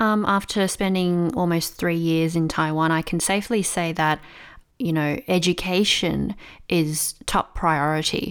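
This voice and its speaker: In a very clean recording with a silent background, a woman with an Australian accent speaks fairly slowly at a fairly low pitch with very even loudness. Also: ordinary pitch variation. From Australia, Melbourne. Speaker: English teacher. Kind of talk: casual interview chat.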